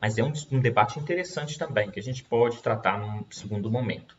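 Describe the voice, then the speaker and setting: A man at medium pitch with lively intonation and a fairly quick pace, over noticeable background noise. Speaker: law professor. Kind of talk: lecture. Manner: fast.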